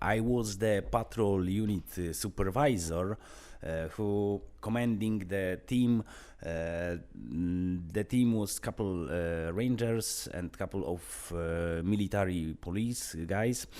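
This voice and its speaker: In an Eastern European accent, a man with a very deep, low pitch and a dark, mellow tone speaks at a very slow pace on a very clean recording with a silent background. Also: ordinary pitch variation. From Poland. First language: Polish. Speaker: vlogger, former wildlife patrol supervisor. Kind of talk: personal storytelling monologue. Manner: halting, many filler sounds.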